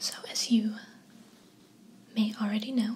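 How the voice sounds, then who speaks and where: A soft-spoken woman is whispering over noticeable background noise. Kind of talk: casual talk to camera. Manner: whispered, soft-spoken.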